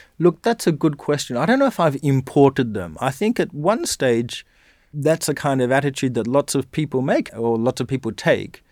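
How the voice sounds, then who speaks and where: In a very clean recording with a silent background and a dry, close sound with no echo, a man with an Australian accent talks at a moderate pace, his fairly high pitch carried by lively intonation. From rural Western Australia. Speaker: university lecturer. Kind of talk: interview conversation.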